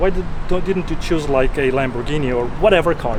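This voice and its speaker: A man speaks at a fairly quick pace with a non-native accent, his pitch fairly high. Noticeable background noise sits behind him. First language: not English. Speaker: car vlogger. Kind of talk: casual interview vlog.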